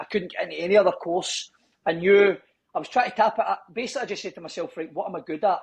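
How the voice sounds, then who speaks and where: A man talks with a strong Scottish accent and ordinary pitch variation. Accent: broad Scottish. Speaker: gym owner and personal trainer. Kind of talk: casual podcast interview.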